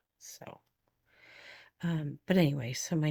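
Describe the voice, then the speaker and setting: A soft-spoken woman with a very deep, low voice speaks fairly slowly on a very clean recording with a silent background. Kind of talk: tutorial.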